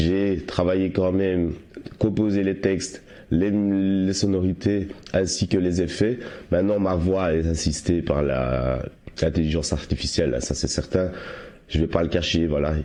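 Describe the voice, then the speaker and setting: Ordinary pitch variation marks a man's very deep, low voice. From Belgium, Liège province. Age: 30s. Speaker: amateur musician and football supporter. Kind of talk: interview.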